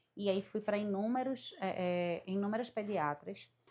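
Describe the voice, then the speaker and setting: A woman at a medium pitch, with ordinary pitch variation, comes through on a very clean recording against a silent background. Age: 30s. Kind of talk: testimony. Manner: halting.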